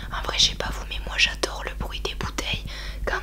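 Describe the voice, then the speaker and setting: Noticeable background noise behind a woman speaking. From France. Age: 20s. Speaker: ASMR YouTuber. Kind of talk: casual talk to camera, ASMR beer tasting. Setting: home, quiet room with room noise. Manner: playful, joking, informal.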